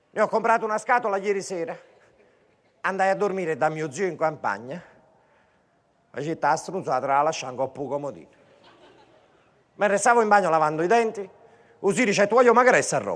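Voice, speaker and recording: An energetic tone in a Neapolitan accent comes at a fairly quick pace with lively intonation. Long, frequent pauses break it up. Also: man, high pitch for a man. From Naples. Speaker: stand-up comedian. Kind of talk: live stand-up comedy show. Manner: energetic, satirical.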